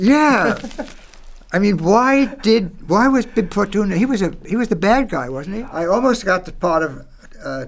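At a moderate pace, a man talks in a high voice with lively intonation. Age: 80s+. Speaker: voice actor; radio drama broadcaster. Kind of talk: interview answer. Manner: casual, conversational. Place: studio.

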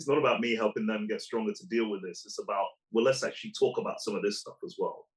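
Big swings in loudness mark a man's very fast speech. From Nigeria, moved to England at 8. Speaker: psychologist and leadership consultant. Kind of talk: casual interview.

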